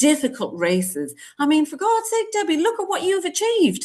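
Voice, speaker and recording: A woman speaks in an animated tone with very wide pitch swings. The background is quiet. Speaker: GP and menopause specialist. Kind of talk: casual podcast chat.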